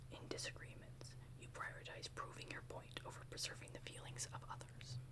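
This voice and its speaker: Noticeable background noise runs through the clip. Over it, this woman speaks in a whisper. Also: fairly quick pace. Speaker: ASMR creator. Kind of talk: ASMR roleplay, personality test reading. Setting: close-mic studio. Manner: soft-spoken, whispering, calming.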